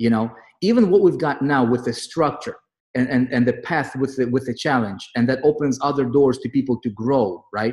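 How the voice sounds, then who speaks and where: Against a quiet background, a man with a non-native accent speaks at a moderate pace in a medium pitch with ordinary pitch variation. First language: not English. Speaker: online marketing group leader. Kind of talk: motivational group call. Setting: online group meeting. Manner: animated.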